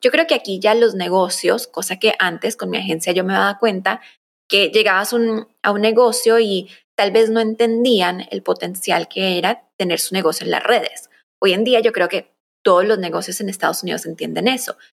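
Ordinary pitch variation and a moderate pace in a woman with a plain, everyday voice at medium pitch. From Colombia, raised in the US from early childhood. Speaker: content strategist and agency founder. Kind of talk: casual interview chat.

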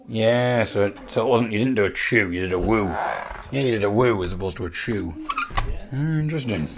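Here a man with an English accent talks at a fairly quick pace. His pitch is medium and his tone is playful. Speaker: podcaster and musician. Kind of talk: solo monologue storytelling.

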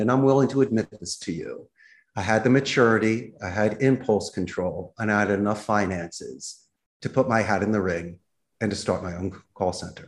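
A normal speaking voice with an American accent, lively intonation and a moderate pace. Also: man. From Philadelphia, US. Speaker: business owner living abroad. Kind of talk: casual interview.

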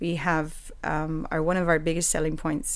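In a room with audible echo, a woman with a fairly low voice talks at a fairly quick pace. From Puerto Rico. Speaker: dance lecturer and dance movement therapist. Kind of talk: casual interview.

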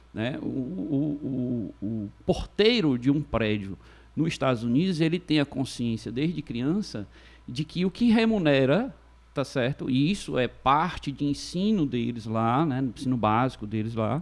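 Against a quiet background, a man with an ordinary speaking voice talks at a fairly slow pace and medium pitch with lively intonation. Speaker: lawyer. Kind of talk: casual chat.

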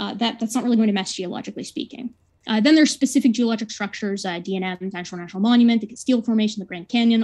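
A very fast, somewhat breathy voice with a dark, mellow tone and ordinary pitch variation over a quiet background. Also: woman. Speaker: debater giving opening statement. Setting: online video call, screen sharing. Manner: fast talker.

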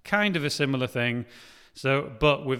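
A man talks in a North Welsh accent at medium pitch with ordinary pitch variation. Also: very clean recording, silent background. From North Wales. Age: 30s. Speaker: film director. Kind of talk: casual interview.

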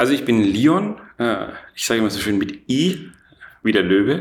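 Lively intonation comes through with audible room echo. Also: man. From Franconia, Germany (Erlangen). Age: 30s. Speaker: entrepreneur. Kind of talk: interview. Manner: many filler sounds (äh, ähm); energetic.

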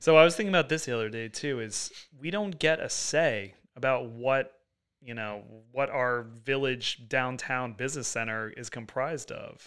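A man with an American accent has an unremarkable speaking voice at medium pitch, moderate pace and ordinary pitch variation. His loudness swings widely on a very clean recording with a silent background. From US Northeast, Long Island (East Hampton). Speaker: artist. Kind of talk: casual chat.

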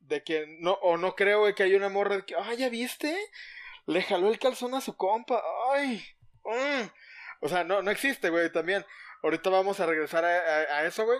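In a very clean recording with a silent background, a man with a Mexican accent and a high voice speaks at a moderate pace with ordinary pitch variation, leaving long, frequent pauses. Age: 30s. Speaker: podcast co-host. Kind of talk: casual chat.

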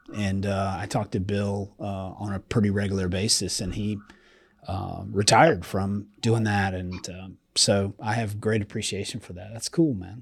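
A man with an unremarkable speaking voice talks at a fairly low pitch and fairly slow pace, with fairly even intonation and big swings in loudness, on a very clean recording with a silent background. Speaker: podcast host. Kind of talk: casual podcast interview.

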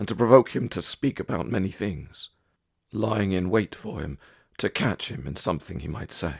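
At a moderate pace, a man with a fairly low pitch and vocal fry speaks with lively intonation on a very clean recording with a silent background. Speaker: prayer leader. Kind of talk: devotional reading and litany prayer. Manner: measured, reverent litany cadence, repeating each refrain; earnest, fervent pleading.

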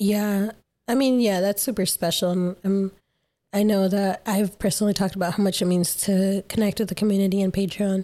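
The voice has a dark, mellow tone and monotone, flat intonation at very even loudness. The recording is very clean, with a silent background. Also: woman, medium pitch for a woman. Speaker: podcast host. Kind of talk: casual chat.

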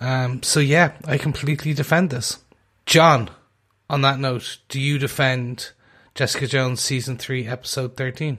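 Here a man speaks with an Irish accent at a moderate pace. His intonation is fairly even. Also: medium pitch for a man, very clean recording, silent background. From Ireland. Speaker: podcast co-host. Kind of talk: casual chat.

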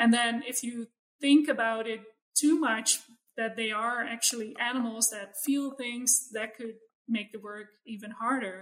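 A woman with a Dutch accent speaks fairly slowly at a fairly high pitch. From Netherlands. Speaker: animal welfare scientist. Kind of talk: interview.

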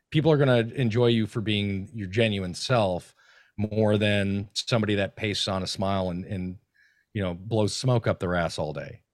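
An ordinary speaking voice at a moderate pace, with ordinary pitch variation, is heard on a very clean recording with a silent background. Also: man, fairly low pitch for a man. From Minnesota. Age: 40s. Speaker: content creator. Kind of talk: casual chat.

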